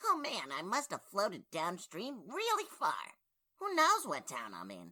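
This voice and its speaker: In a cartoonish character voice, a man speaks at a moderate pace with big swings in loudness. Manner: excitable, wisecracking.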